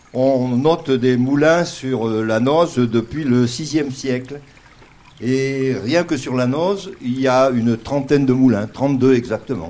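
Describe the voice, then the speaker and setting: Noticeable background noise sits behind a man speaking at a very slow pace. His pitch is medium with ordinary variation. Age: old. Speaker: retired doctor. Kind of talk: outdoor interview. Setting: outdoors by a river. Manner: halting, with repetitions.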